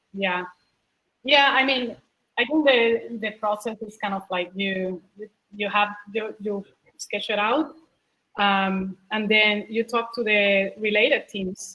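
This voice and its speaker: In a Puerto Rican accent, a woman speaks at a very slow pace with long, frequent pauses, her medium pitch showing ordinary variation. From Puerto Rico. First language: Spanish. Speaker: product manager. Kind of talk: panel talk Q&A.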